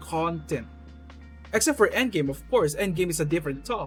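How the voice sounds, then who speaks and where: A robotic voice speaks with music in the background. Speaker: gaming commentator. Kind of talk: unscripted casual commentary. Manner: stuttering, somewhat robotic delivery.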